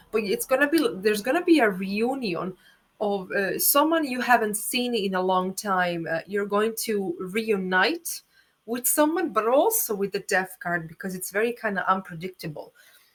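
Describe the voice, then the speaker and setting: A woman with a non-native accent, fairly high pitch, lively intonation and a moderate pace. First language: not English. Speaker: astrologer and tarot reader. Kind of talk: tarot reading monologue. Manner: spontaneous, halting with fillers.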